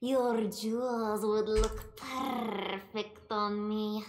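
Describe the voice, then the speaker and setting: In a put-on character voice that sounds female, the speaker delivers lines at a very slow pace. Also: fairly high pitch for a woman. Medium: game stream. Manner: coy, purring.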